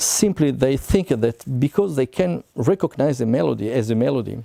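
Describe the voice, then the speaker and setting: A dark, mellow tone with lively intonation and an Italian accent at a moderate pace, dry and close with no echo. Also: man. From Italy, Milan area. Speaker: composer. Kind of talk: talk to camera. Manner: halting.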